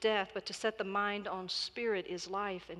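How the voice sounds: The clip offers a natural reading voice whose intonation stays fairly even.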